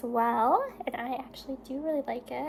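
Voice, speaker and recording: There's noticeable noise in the background. Over it, a woman talks. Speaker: beauty vlogger. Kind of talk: casual chat. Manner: slurring words.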